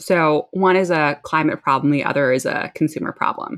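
In an American accent, a woman with an ordinary speaking voice talks at a moderate pace with ordinary pitch variation. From New Jersey. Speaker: startup founder and CEO. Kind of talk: interview.

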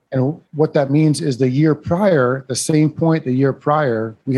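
Moderate in pace, a man speaks with a Midwestern accent. His pitch is fairly high, with ordinary variation. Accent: northern US Midwest. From Iowa, US Midwest. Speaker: property management company owner. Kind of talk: interview. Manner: animated.

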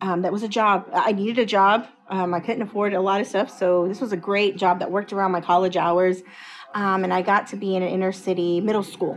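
Speaking fast with an American accent, a woman keeps a monotone, flat intonation at a medium pitch amid noticeable background noise. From Dallas-Fort Worth, Texas. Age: 40s. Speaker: educator and school administrator. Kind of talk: interview.

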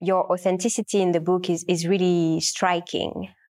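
Her medium-pitched voice is monotone, with flat intonation throughout. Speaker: podcast host. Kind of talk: interview.

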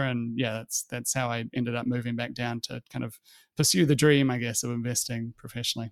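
Speaking at a very fast pace with a New Zealand accent, a man keeps a medium pitch and fairly even intonation in a dry, close sound with no echo. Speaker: fund manager. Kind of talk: interview conversation. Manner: halting, many fillers.

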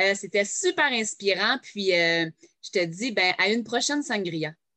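A woman's bright, sharp voice with a Quebec accent, very wide pitch swings and a fairly slow pace. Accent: Québécois French. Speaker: podcast host, direct sales entrepreneur. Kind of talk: casual interview. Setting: home, no editing.

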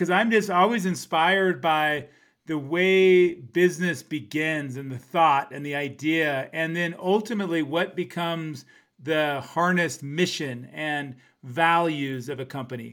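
In a very clean recording with a silent background, a man with an ordinary speaking voice talks at a fairly slow pace, his pitch fairly high and its variation ordinary. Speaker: podcast host. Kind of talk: casual podcast interview.

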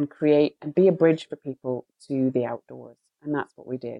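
A woman's very deep, low voice in a British accent, at a moderate pace. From Britain. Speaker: co-founder and CEO of a glamping company. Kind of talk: interview.

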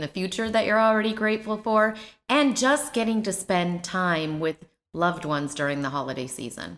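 With lively intonation, a woman speaks at a moderate pace in an unremarkable speaking voice pitched fairly low. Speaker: podcast host. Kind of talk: casual podcast conversation.

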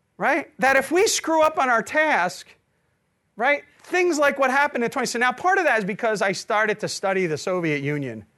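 In a raised, projected voice with a bright, sharp tone, the speaker moves at a fairly quick pace, animated in tone and with very wide pitch swings. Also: man, extremely high pitch for a man. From New Jersey. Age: 50s. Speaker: economics professor. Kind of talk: lecture.

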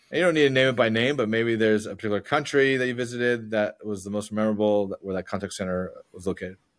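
Talking very fast, the man keeps a medium pitch. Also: ordinary pitch variation, hardly any pauses. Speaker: podcast host. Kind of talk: interview conversation. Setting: remote call.

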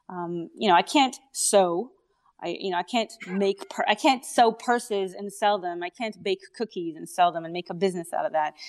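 Against a quiet background with a dry, close sound with no echo, a woman speaks at a moderate pace and medium pitch, with ordinary pitch variation and big swings in loudness. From Israel, then Canada. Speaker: company founder and CEO. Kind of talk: casual interview.

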